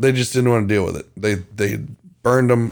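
In a very clean recording with a silent background, a man uses an unremarkable speaking voice, medium in pitch, with fairly even intonation. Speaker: true crime podcast host. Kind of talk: casual banter. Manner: playful, joking.

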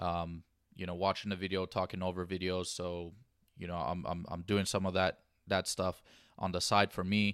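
A man with an American accent speaks at a very deep, low pitch in a monotone, flat intonation. The recording is very clean, with a silent background and a dry, close sound with no echo. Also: moderate pace. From Los Angeles area, US. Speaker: sports podcast host. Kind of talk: solo sports commentary podcast. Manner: casual with frequent fillers.

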